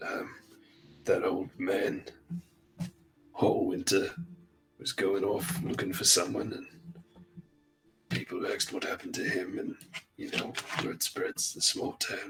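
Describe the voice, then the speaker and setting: A man performs a raspy, put-on character voice. He speaks at a fairly slow pace with long, frequent pauses. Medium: actual play. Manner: stammering, hesitant, full of ums.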